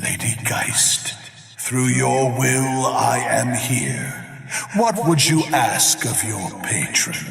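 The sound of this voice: Over faint music in the background, a man in a put-on character voice speaks slowly at medium pitch, with vocal fry, a fairly bright tone, big pitch swings and few pauses.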